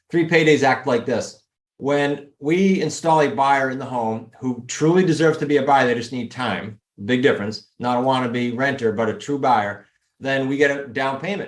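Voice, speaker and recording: Speaking with a New England accent, a man keeps a moderate pace. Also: medium pitch for a man, ordinary pitch variation. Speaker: real estate investing coach. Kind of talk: podcast interview.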